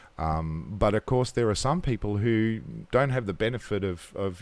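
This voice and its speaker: An Australian accent marks a man's lively, fairly low-pitched speech on a very clean recording with a silent background. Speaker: podcast co-host, solar industry veteran. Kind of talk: casual chat. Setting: hotel room.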